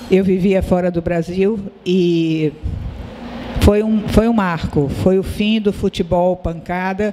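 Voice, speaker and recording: At a fairly slow pace, a woman speaks with a medium pitch and fairly even intonation. Noticeable background noise can be heard. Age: 70s. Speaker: publisher and sociologist. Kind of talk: panel discussion. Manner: halting.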